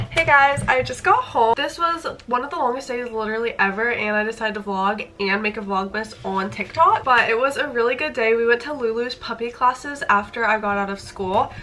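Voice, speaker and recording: Over noticeable background noise, a woman talks at a fairly quick pace with hardly any pauses. Her voice is fairly high, with ordinary pitch variation. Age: 20s. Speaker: vlogger and esthetician student. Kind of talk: casual vlog. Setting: at home.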